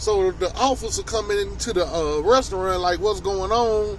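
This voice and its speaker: A man keeps a moderate pace while noticeable background noise sits beneath his voice. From Tennessee. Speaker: vlogger, chef. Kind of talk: casual storytelling vlog. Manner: casual, hesitant with many fillers.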